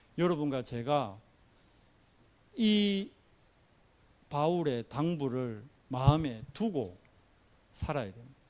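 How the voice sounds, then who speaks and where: A man's fairly high voice with very wide pitch swings, very slow pace and long, frequent pauses, plus audible room echo. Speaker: pastor. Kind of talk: sermon.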